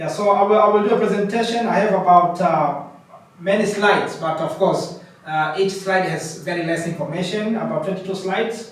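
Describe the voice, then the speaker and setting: Amid noticeable background noise and audible room echo, a man speaks loud and high-pitched at a fairly quick pace, his intonation fairly even. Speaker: coaching program founder and facilitator. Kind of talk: presentation. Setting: in-person session with participants. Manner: halting, repetitive.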